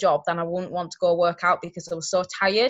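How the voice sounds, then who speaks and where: A woman speaks with a Yorkshire accent. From Yorkshire, England. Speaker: network marketing distributor. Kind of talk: testimony.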